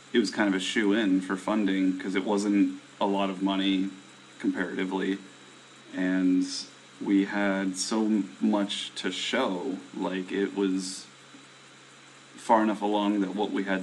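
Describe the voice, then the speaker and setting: A man talks at a fairly slow pace and a fairly low pitch. Noticeable background noise runs underneath. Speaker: indie game developer streaming to viewers. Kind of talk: casual live stream chat. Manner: hesitant, many fillers.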